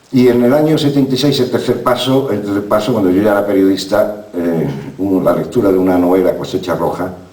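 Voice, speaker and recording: A man with a fairly low voice speaks at a fairly quick pace, with ordinary pitch variation and very even loudness. Noticeable background noise and audible room echo are present. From southern Spain, Málaga. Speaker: novelist and former journalist. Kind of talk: talk at a literary festival. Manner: fast; halting, many repetitions.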